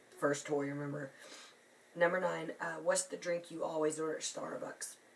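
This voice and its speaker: With noticeable background noise behind her, a woman speaks at a moderate pace in monotone, flat intonation. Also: long, frequent pauses. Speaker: beauty vlogger. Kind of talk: casual talk to camera.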